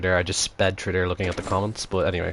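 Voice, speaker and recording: The speaker is a man. He talks with an Irish accent. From Ireland. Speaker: gaming live streamer. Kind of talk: live gameplay stream chat. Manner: casual, hesitant with fillers.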